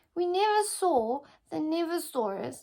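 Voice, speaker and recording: Using a put-on character voice, the speaker talks at a moderate pace with an extremely high pitch. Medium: read story. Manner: bold, blustery.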